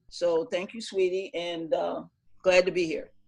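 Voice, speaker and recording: A woman with a normal speaking voice at a medium pitch, fairly even intonation, and a moderate pace, in a very clean recording with a silent background. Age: 60s. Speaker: boxing coach. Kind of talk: panel discussion introduction.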